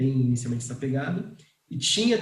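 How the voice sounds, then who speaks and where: With audible room echo around him, the man talks in a fairly high pitch. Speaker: startup founder and CEO. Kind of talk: online talk on pricing.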